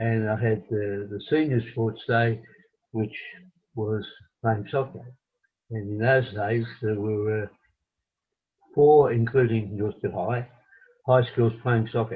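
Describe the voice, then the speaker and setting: Very slow, somewhat breathy speech from a man with an Australian accent, medium pitch, fairly even intonation and long, frequent pauses. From Australia, Melbourne. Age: 80s+. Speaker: retired footballer and coach. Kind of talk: interview. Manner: halting.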